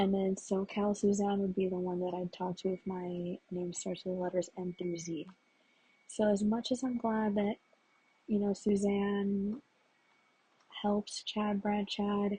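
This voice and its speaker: A woman speaks quietly at a medium pitch, in a dark, mellow tone that is somewhat breathy. Her monotone, flat delivery moves at a fairly slow pace with long, frequent pauses. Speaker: vlogger. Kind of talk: casual monologue.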